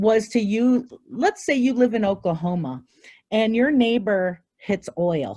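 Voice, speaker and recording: A woman with a somewhat breathy, dark, mellow tone, a fairly high pitch, lively intonation and a fairly slow pace. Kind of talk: Q&A after a presentation.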